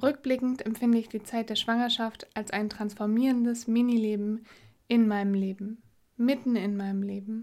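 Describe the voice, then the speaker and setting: A woman with a fairly high pitch and a dark, mellow tone talks at a moderate pace with monotone, flat intonation, recorded very cleanly against a silent background. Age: 30s. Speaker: podcast host, mother. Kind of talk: reflective solo monologue.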